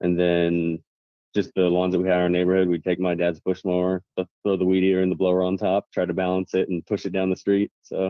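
A man with a Midwestern US accent talks very fast in a very deep, low voice, his intonation flat and monotone and his loudness very even. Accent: US Midwest. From Kansas, Wichita. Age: 20s. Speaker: lawn care business owner and YouTuber. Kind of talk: casual chat.

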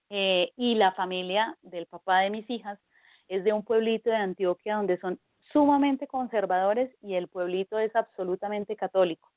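A woman talks at a moderate pace and medium pitch, with ordinary pitch variation, in a plain, everyday voice. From Colombia. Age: 30s. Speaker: Wiccan priestess and pagan community organizer. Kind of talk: interview.

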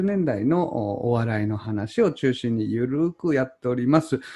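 Against a quiet background, the speaker moves at a fairly slow pace with very wide pitch swings. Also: man. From Chugoku region, Japan. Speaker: podcast host. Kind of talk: casual chat. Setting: remote recording.

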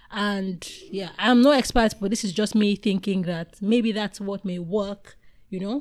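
An unremarkable speaking voice from a woman, fairly slow, medium-pitched and fairly even in intonation. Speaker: podcast host. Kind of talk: casual interview chat.

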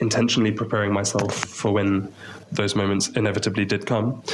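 In a southern English accent, a man speaks at a moderate pace with a fairly low pitch and monotone, flat intonation, amid audible room echo. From England, Maidenhead near London. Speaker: missionary English teacher. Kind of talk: interview.

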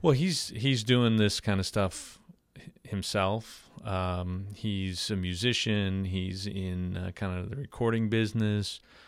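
A man's very slow, fairly low voice with a New York accent, fairly even intonation, and a very clean recording over a silent background. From Long Island, New York. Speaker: pastor. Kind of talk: casual interview chat. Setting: podcast studio.

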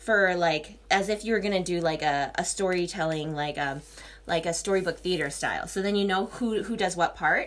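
A woman speaks at a moderate pace, and noticeable background noise is present. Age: 30s. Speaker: solo podcaster, yoga teacher. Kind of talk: casual monologue. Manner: rambling with many fillers.

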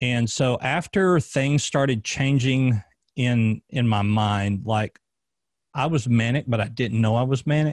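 A man at medium pitch and a fairly slow pace, ordinary pitch variation, very even loudness, dry, close sound with no echo, and a very clean recording with a silent background. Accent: Southern US. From US South, Arkansas. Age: 30s. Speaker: former police officer and podcast host. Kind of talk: casual interview, personal testimony.

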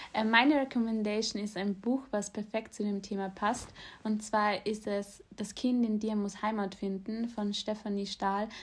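Fairly high in pitch and somewhat breathy, a woman speaks at a fairly slow pace in a monotone, flat intonation. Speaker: podcast co-host. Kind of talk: casual chat.

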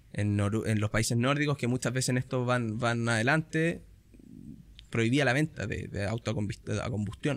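A man's medium-pitched voice moves at a moderate pace with ordinary pitch variation. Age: 30s. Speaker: fund company sales manager. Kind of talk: casual interview.

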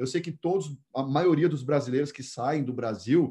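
This man's dark, mellow tone is somewhat breathy, and he talks fairly slowly with ordinary pitch movement. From Brazil, Goiânia. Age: 30s. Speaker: personal development coach. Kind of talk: interview.

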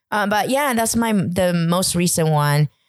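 A woman with a Chinese accent speaks fairly slowly at a medium pitch, her pitch swinging very widely. The sound is dry and close, with no echo. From China (village, then suburb of a city). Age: 30s. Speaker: podcast guest. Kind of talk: casual interview chat. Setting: night recording.

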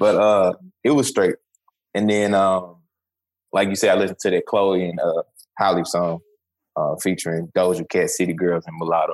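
A man with a Memphis accent pauses often and at length, the sound dry and close with no echo. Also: moderate pace. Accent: Southern US, Memphis. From US South, Memphis, Tennessee. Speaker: podcast co-host. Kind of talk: casual chat. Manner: animated.

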